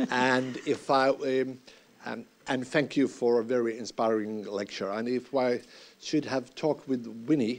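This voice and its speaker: Speaking at a fairly slow pace, a man with a Finnish accent keeps a medium pitch and fairly even intonation. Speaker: university representative. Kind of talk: closing thanks.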